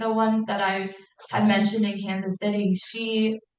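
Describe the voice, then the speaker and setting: This is an unremarkable speaking voice with an American accent, delivered at a moderate pace. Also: woman. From St. Louis, Missouri. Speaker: educator for deafblind children. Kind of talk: Q&A at a support group meeting.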